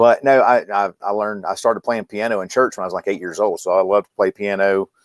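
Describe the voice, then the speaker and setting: Speaking very fast with a Mississippi accent, a man with a fairly low pitch keeps a fairly even intonation in a dry, close sound with no echo. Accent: Southern US (Mississippi). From US South, Mississippi. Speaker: medical trainer and company founder. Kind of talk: casual interview chat. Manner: halting, repeats words.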